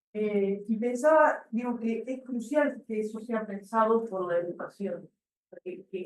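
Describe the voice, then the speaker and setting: A woman speaks in a medium pitch. Her pace is fairly slow. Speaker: physical education researcher. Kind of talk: seminar discussion. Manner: halting.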